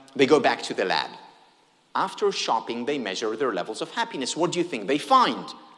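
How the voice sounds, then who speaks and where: In an Israeli accent, a man talks at a fairly high pitch with very wide pitch swings. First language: Hebrew. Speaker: happiness researcher, keynote speaker. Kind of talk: keynote talk. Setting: stage with audience. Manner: animated.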